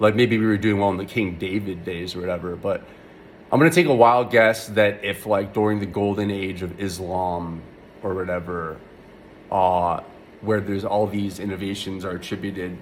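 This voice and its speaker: Mumbling at a moderate pace, a man speaks with a fairly low pitch and ordinary pitch variation. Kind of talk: casual rant to camera. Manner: mumbly, hesitant with many filler words.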